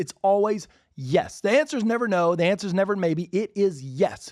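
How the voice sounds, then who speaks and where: In a very clean recording with a silent background, a man with an American accent sounds animated, his high voice rising and falling with lively intonation. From Alabama, US South. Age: 40s. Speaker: podcast host, real estate agent. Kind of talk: solo podcast monologue. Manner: fast.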